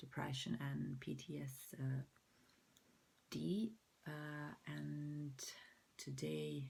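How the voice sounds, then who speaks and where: With a Croatian accent, the speaker goes at a very slow pace with long, frequent pauses. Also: woman. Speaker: mental health vlogger. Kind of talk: personal vlog. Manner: halting.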